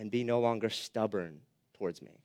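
A man at a moderate pace, dry and close with no echo, on a very clean recording with a silent background. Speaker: pastor. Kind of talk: sermon. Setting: church. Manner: loud.

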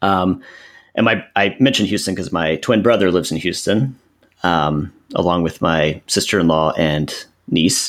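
In a very clean recording with a silent background, a man speaks with an American accent and a very deep, low pitch. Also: ordinary pitch variation, moderate pace. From central Texas. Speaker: historian with a PhD. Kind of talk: casual interview.

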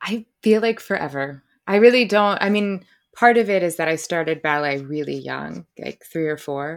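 With lively intonation, a woman with an unremarkable speaking voice talks at a fairly low pitch and a moderate pace. The recording is very clean, with a silent background. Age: 30s. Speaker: author. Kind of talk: interview.

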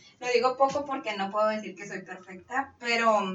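Her voice sits high for a woman and shows ordinary pitch variation. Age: 30s. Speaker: bariatric surgery patient. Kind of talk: testimony.

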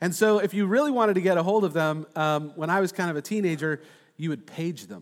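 This man talks at a very fast pace. His pitch is high, with ordinary variation. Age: 40s. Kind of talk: sermon.

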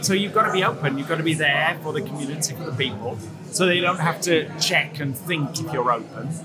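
A man speaks at a fairly quick pace with a fairly high pitch and ordinary pitch variation. Music plays in the background, and there's audible room echo. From northern England, Leeds. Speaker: coffee judge and barista trainer. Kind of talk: interview. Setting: noisy coffee shop at a barista competition.

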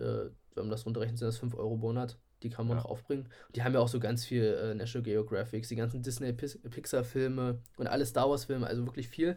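A man talks at a very fast pace in a dark, mellow tone. His intonation stays monotone and flat, and his voice is somewhat breathy. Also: medium pitch for a man. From Saxony-Anhalt, Köthen area. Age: 20s. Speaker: podcast co-host, chemistry student and photographer. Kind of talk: casual chat. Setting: remote recording from home.

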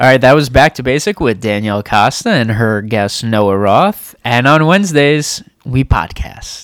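A man with an unremarkable speaking voice talks at a moderate pace and medium pitch. His intonation is lively. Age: 20s. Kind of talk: casual banter with partner. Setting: home, recording with a microphone.

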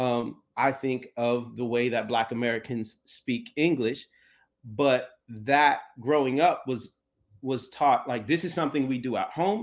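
In a very clean recording with a silent background, a man with a plain, everyday voice talks fairly slowly at a medium pitch with ordinary pitch variation. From USA. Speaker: poet. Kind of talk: casual chat; reading aloud.

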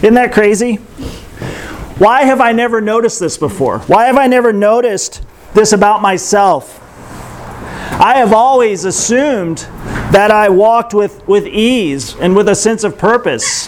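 Noticeable background noise and audible room echo surround a man's high-pitched voice, which moves at a fairly slow pace with ordinary pitch variation. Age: 40s. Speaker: pastor. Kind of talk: sermon. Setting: outdoor yurt church gathering.

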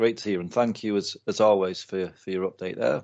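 A man's normal speaking voice, fairly low in pitch, with fairly even intonation. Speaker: podcast host. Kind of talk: casual chat.

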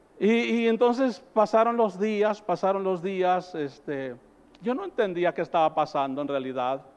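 A man with a high-pitched voice speaks with lively intonation while noticeable background noise plays behind him. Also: fairly slow pace. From rural northern Mexico. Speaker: pastor. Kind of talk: sermon. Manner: animated.

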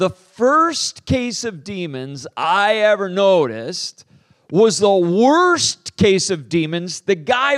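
A man speaks very slowly at a high pitch, his voice making very wide pitch swings. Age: 50s. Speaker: pastor and author. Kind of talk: sermon.

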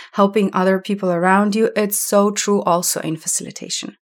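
At a moderate pace and medium pitch, a woman speaks with a Slovenian accent. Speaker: podcast host, learning experience designer. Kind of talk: solo podcast monologue.

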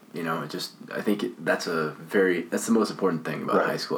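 Noticeable background noise fills the recording. Over it, a man talks with a very deep, low pitch. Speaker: podcast host. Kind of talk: casual conversation. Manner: halting, filler-heavy.

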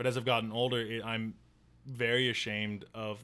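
In a Midwestern US accent, a man talks at a fairly low pitch with monotone, flat intonation. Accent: US Midwest. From northern Illinois, US. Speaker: newspaper worker and comedian. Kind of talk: casual chat.

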